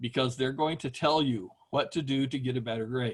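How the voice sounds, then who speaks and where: Fairly high-pitched for a man, this man has an unremarkable speaking voice, fairly even intonation and a moderate pace. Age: 60s. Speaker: professor. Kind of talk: online lecture. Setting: video call from home. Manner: casual, conversational.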